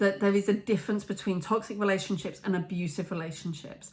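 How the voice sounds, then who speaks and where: At a medium pitch, a woman talks with ordinary pitch variation. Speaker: female empowerment coach and motivational speaker. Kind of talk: motivational talk to camera. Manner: loud, voice carries.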